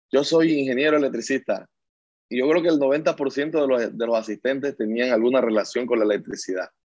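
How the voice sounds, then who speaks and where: A man at a medium pitch and a fairly quick pace, with ordinary pitch variation. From Colombian Caribbean coast, La Guajira / Barranquilla. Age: 30s. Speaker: coal miner and trade unionist. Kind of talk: interview testimony. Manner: hesitant, with fillers.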